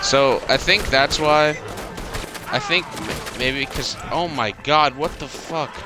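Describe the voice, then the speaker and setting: Over noticeable background noise, a man with a fairly high pitch speaks at a very slow pace with fairly even intonation. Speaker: gaming youtuber. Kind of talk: casual gameplay commentary. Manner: stutters, many fillers; rambling, halting.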